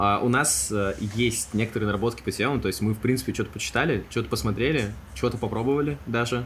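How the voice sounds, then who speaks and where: Lively intonation and vocal fry mark this man's voice. He talks at a fairly quick pace. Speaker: podcast co-host. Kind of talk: casual chat. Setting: studio.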